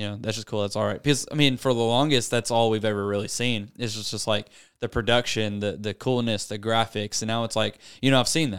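In a Southern US accent, a man at medium pitch talks very fast on a very clean recording with a silent background. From US South, Arkansas. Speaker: youth pastor. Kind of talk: casual chat. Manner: animated.

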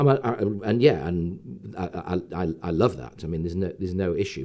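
With an English accent, a man speaks in a dark, mellow tone. Vocal fry runs through his voice. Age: 60s. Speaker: entrepreneur. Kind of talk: interview. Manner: halting.

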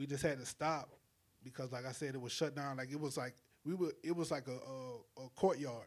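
With a South Carolina accent, a man speaks at a medium pitch. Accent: Southern US (South Carolina). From South Carolina (Calhoun County). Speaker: music curator and talent developer. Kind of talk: casual podcast interview.

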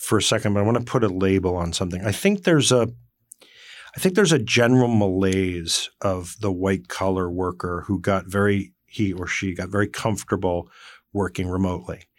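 On a very clean recording with a silent background, a man with a New Jersey accent speaks at a fairly quick pace in a fairly low voice with ordinary pitch variation. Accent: New Jersey American. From northwestern New Jersey, Morris County. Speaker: company CEO. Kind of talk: interview conversation. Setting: studio.

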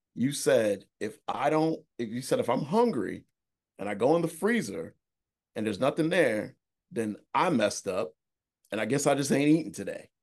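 A man speaks at a fairly high pitch, his voice swinging very widely up and down. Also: moderate pace. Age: 30s. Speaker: real estate investor. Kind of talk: casual chat.

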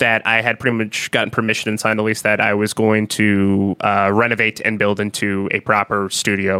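A man speaks in a bright, sharp tone with monotone, flat intonation and very even loudness. The sound is dry and close with no echo, on a very clean recording with a silent background. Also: fairly low pitch for a man, fairly quick pace. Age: 30s. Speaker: music producer and studio owner. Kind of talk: casual interview chat.

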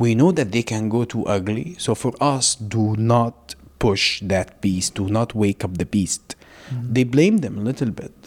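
With an Arabic accent, a man speaks at a moderate pace and medium pitch, his pitch varying in an ordinary way, in a dry, close sound with no echo. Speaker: humanitarian worker from Gaza. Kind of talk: interview conversation.

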